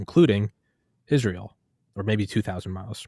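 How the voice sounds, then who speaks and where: Recorded very cleanly against a silent background, with a dry, close sound and no echo, a man with an ordinary speaking voice and fairly low pitch talks at a fairly quick pace. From United States. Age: 30s. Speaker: podcast host. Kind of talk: casual interview.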